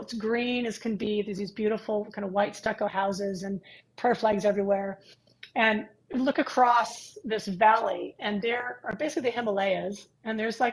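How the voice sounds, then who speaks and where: A woman with a plain, everyday voice and an American accent, fairly high in pitch, at a moderate pace. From California. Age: 60s. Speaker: pilates and movement instructor trainer. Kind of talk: casual interview chat.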